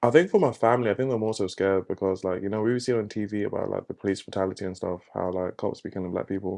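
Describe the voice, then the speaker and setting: A man with a London accent talks at a very fast pace, with hardly any pauses. His pitch is fairly low, his tone dark and mellow, and the background quiet. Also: fairly even intonation. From England, Luton area. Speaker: photographer. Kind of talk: casual chat.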